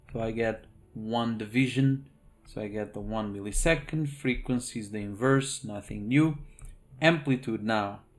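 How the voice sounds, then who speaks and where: This is an ordinary speaking voice. It moves at a fairly slow pace with ordinary pitch variation. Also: man. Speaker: engineering instructor. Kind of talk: lecture.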